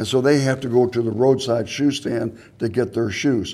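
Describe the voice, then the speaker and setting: Speaking in a dark, mellow tone at medium pitch, a man keeps a moderate pace and fairly even intonation. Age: 60s. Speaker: charity founder collecting shoes. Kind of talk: TV interview. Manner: halting, frequent repetitions.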